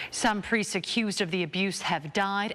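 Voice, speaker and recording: This woman has an unremarkable speaking voice at medium pitch. She talks at a fairly quick pace. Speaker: TV news anchor. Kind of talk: TV news read.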